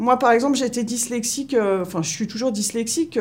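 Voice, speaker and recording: Her voice is high-pitched, and this woman speaks at a moderate pace with ordinary pitch variation. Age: 40s. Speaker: municipal groundskeeper. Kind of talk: interview testimony. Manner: halting, many hesitations.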